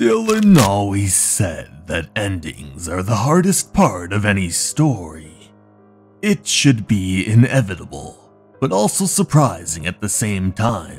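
A man talks at a fairly slow pace, his pitch fairly low. Faint music plays in the background. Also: lively intonation. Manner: calm, reflective, quietly satisfied.

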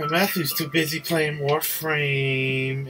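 Clear music plays in the background while the speaker talks at a very slow pace. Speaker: gaming video creator. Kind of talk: gameplay commentary. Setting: recording late at night. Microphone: phone near.

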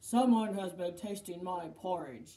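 A put-on character voice at a middle pitch moves along at a moderate pace.

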